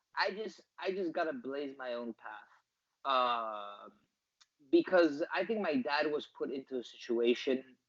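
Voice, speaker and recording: A man with a normal speaking voice talks at a fairly slow pace. His medium-pitched voice has lively intonation. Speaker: soccer commentator. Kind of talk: interview answer.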